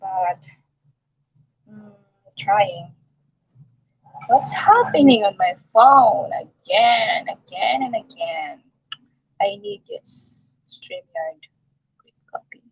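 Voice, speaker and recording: Speaking very slowly with long, frequent pauses, a woman with a Filipino accent shows big swings in loudness in a dry, close sound with no echo. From Philippines. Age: 60s. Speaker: vlogger. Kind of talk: live stream chat. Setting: live stream on phone. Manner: halting.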